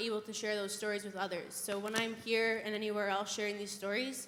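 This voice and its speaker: A woman speaks at a fairly quick pace with a fairly high pitch. The room echo is audible, and background noise is noticeable. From Saskatchewan, Canada. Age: 18. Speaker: youth panelist, student. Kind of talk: panel discussion. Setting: conference stage with audience.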